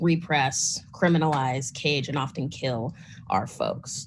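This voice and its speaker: Somewhat breathy, a woman speaks at a fairly slow pace with fairly even intonation. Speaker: grassroots organizer, panelist. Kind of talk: panel talk.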